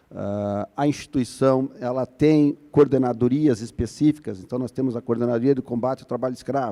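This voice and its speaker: Here a man speaks with a Paraná accent at a medium pitch, his tone dark and mellow. The sound is dry and close, with no echo. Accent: Paraná accent, 'drier' southern Brazilian. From Curitiba, Paraná, southern Brazil. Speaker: labor prosecutor, conference panelist. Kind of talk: conference panel talk. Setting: conference stage with audience. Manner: hesitant, many fillers.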